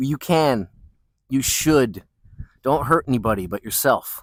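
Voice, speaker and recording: A man speaks at a fairly slow pace and a medium pitch with lively intonation in an ordinary speaking voice. The sound is dry and close, with no echo. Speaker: podcast host. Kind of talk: casual rambling monologue. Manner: playful, rambling.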